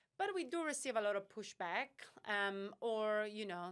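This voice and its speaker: A woman speaks at a moderate pace. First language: not English. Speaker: startup founder and CEO. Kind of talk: podcast interview. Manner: halting, many fillers.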